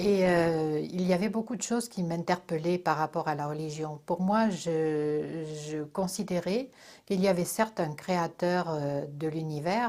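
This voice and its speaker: Fairly low for a woman, her voice has a dark, mellow tone and ordinary pitch variation at a fairly slow pace, on a very clean recording with a silent background. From Corsica, France. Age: 60s. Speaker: religious convert. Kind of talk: testimony. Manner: hesitant, many filler sounds.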